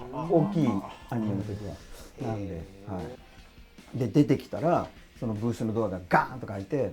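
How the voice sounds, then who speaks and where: With music in the background, a man of medium pitch talks at a fairly quick pace, using lively intonation, big swings in loudness, and long, frequent pauses. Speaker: voice actor. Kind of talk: interview answer.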